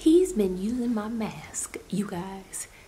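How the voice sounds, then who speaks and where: Very slow speech with audible room echo and noticeable background noise. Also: woman. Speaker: beauty vlogger. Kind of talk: product review vlog. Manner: casual, chatty.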